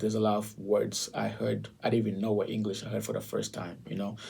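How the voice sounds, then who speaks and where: A man with a non-native accent, very fast in pace, with audible room echo. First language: not English. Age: 20s. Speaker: realtor. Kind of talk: casual chat.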